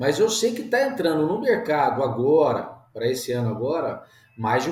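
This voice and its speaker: Noticeable background noise and audible room echo around a man's voice with very wide swings in pitch. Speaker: agronomist and winemaker. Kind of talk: interview, casual.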